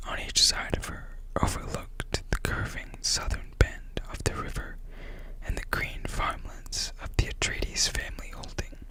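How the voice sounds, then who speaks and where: A moderately paced whisper against noticeable background noise. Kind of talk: audiobook reading. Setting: close-up microphone. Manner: whispered, soft-spoken.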